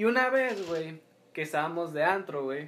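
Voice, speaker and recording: A man speaks at a moderate pace with lively intonation. His voice sits high for a man. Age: 20s. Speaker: podcast co-host. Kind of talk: casual chat.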